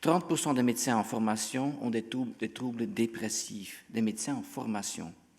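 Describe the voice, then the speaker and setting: A man with a Dutch accent talks at a moderate pace and medium pitch, with ordinary pitch variation and hardly any pauses. The recording is very clean, with a silent background. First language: Dutch (speaking French). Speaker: physician. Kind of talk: conference talk. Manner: halting.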